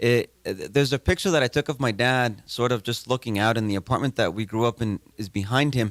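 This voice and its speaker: A man talks at a fairly quick pace with a medium pitch and ordinary pitch variation. The sound is dry and close with no echo, a very clean recording over a silent background. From California, US (San Jose), born in Mexico. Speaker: playwright and arts educator. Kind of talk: interview. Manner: halting, with many repeated words.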